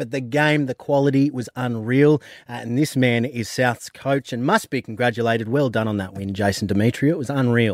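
On a very clean recording with a silent background and a dry, close sound free of echo, a man with an Australian accent speaks at a fairly quick pace with hardly any pauses and ordinary pitch variation. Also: medium pitch for a man. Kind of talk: casual radio banter. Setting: radio studio.

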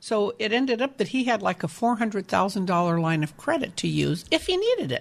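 A woman's fairly high voice with vocal fry and very wide pitch swings, at a moderate pace against a quiet background. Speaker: reverse mortgage specialist. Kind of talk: explanatory talk on a radio show.

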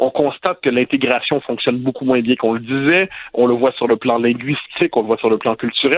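A man talks in a plain, everyday voice. His pitch is medium and his pace fairly quick. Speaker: sociologist and columnist. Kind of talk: political commentary. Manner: formal.

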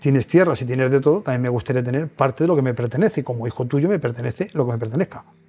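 A man talks very fast in a fairly high pitch with ordinary pitch variation. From Spain, Toledo province rural village. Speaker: lottery ticket seller, former bricklayer. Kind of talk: testimony. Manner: halting.

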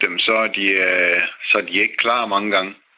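Noticeable background noise under a man speaking at a moderate pace. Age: 60s. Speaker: retired mechanic, listener panel member. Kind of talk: radio panel discussion.

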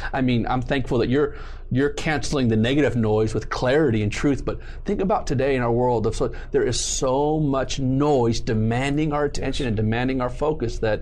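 A man's medium-pitched voice at a fairly quick pace, with very even loudness, ordinary pitch variation and audible room echo. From Southern California. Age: 40s. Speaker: pastor. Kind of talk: casual interview with preaching.

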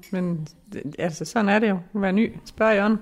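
Very slowly, the words come out. The speaker is a woman. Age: 40s. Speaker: medical secretary. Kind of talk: casual chat.

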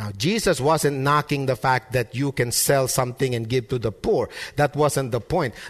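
A somewhat breathy man's voice at medium pitch and moderate pace, with ordinary pitch variation. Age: 30s. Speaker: pastor. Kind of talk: sermon. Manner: repeats words when starting sentences.

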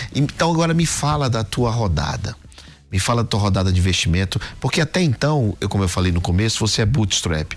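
A man with a fairly low pitch talks at a fairly quick pace, his pitch swinging very widely while his loudness stays very even. Background noise is noticeable. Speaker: podcast host and angel investor. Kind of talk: business interview.

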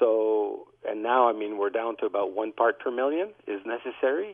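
With an ordinary speaking voice, a man talks at a moderate pace at medium pitch, using ordinary pitch variation. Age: 60s. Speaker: dentist. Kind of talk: call-in expert comment.

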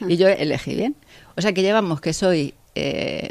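A woman's fairly low voice with vocal fry, at a fairly slow pace. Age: 50s. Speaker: engineer and factory director. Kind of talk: interview.

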